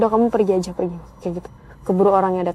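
A woman talks at a very fast pace with ordinary pitch variation. Music plays in the background. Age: 20s. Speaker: storyteller. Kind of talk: personal story narration. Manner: casual, with fillers.

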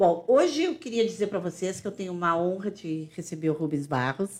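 Her medium pitch shows ordinary variation as a woman talks in an unremarkable speaking voice. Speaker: podcast co-host. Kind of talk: casual interview, hosting.

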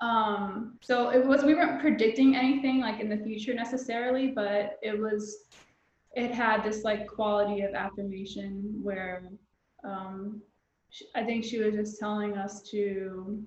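In an American accent, a woman with a normal speaking voice talks fairly slowly at a fairly high pitch, her intonation fairly even. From US South. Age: 30s. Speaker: mental health counselor and spiritual community founder. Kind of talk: casual chat.

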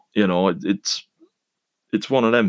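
With a British accent, a man speaks at a fairly low pitch in a dry, close sound with no echo. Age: 30s. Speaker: podcaster. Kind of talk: solo monologue podcast.

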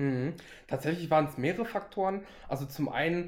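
A man's normal speaking voice moves at a moderate pace, its pitch varying in an ordinary way. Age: 20s. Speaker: finance social media creator. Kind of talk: casual interview.

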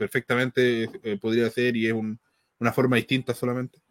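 A man with a Chilean accent at medium pitch, in a dry, close sound with no echo. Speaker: wrestling podcast panelist. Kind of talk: casual chat.

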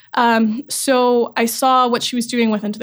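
A woman with an American accent and a plain, everyday voice speaks at a fairly high pitch and a moderate pace with fairly even intonation, in a very clean recording with a silent background. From US South, North Carolina. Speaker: tech startup founder. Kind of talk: interview. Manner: many filler ums.

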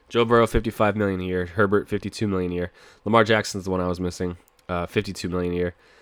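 A man's very deep, low voice at a very fast pace, with fairly even intonation, very cleanly recorded against a silent background. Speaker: sports podcast host. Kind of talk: solo sports podcast, picks and reaction. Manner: casual, profane, conversational.

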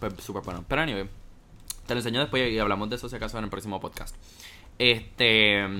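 A man talks at a very fast pace with a fairly low pitch and a bright, sharp tone. His intonation is fairly even, broken by long, frequent pauses. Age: 19. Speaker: podcast co-host, university student. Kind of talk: casual chat.

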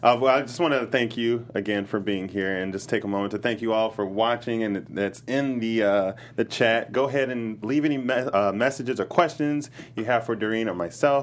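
In an ordinary speaking voice, a man talks at a fairly quick pace and medium pitch, with ordinary pitch variation and hardly any pauses. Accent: American. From Chicago. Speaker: podcast host. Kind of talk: casual interview. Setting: studio.

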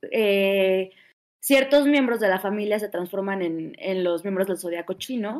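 Pitched in the middle range, a woman's voice rises and falls in a typical way. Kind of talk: casual chat.

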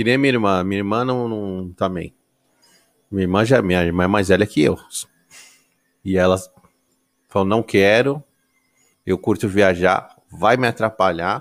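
A man with a fairly low pitch speaks with long, frequent pauses. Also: ordinary pitch variation, moderate pace. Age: 30s. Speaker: podcast host. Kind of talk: casual chat.

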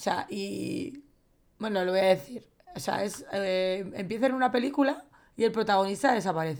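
This is a normal speaking voice with lively intonation, delivered at a moderate pace. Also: woman, medium pitch for a woman. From Valencia, Spain. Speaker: film podcast co-host. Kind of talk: casual chat.

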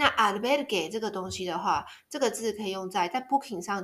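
A woman with a fairly high pitch uses a normal speaking voice with lively intonation. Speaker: travel podcaster. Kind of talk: casual monologue.

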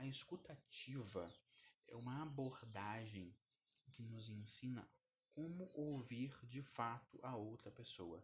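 Somewhat breathy, a man talks very slowly with ordinary pitch variation. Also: medium pitch for a man. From Brazil, Curitiba. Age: 20s. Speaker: podcast host, self-development. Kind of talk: solo educational monologue.

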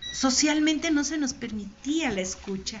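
A woman with a high voice and lively intonation talks over noticeable background noise, with audible echo in the room. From Mexico, Michoacán (Morelia). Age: 60s. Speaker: poet. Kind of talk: interview with poetry reading.

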